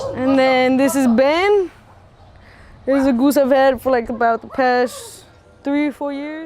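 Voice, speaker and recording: With an American accent, a woman speaks at a fairly slow pace in a high pitch, leaving long, frequent pauses over noticeable background noise. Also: ordinary pitch variation. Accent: Mexican American Texas English. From Laredo, Texas. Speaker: Olympic boxer. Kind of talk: documentary interview. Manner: casual, filler-heavy.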